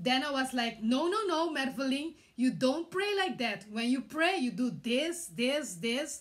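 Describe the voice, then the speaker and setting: A woman with a Curaçao accent speaks at a fairly slow pace in a high voice, her pitch swinging very widely while her loudness stays very even. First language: Papiamento. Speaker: vlogger. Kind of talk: personal testimony. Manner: halting, many hesitations.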